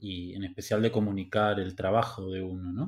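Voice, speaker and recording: In a very clean recording with a silent background, a man speaks at a fairly slow pace with monotone, flat intonation. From Argentina, Buenos Aires. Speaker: podcast host. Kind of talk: interview.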